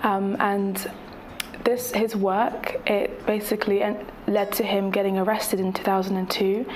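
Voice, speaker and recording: A woman with an English accent speaks at a moderate pace and medium pitch, with monotone, flat intonation and very even loudness. Audible room echo and noticeable background noise are present. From England. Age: 20s. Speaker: activist. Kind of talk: interview. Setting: Fiji. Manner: hesitant, many fillers.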